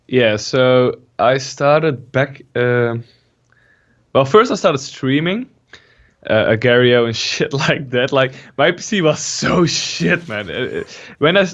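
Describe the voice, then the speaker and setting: This speaker has a Dutch accent and lively intonation. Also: man. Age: 20s. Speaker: gaming YouTuber. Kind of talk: casual interview.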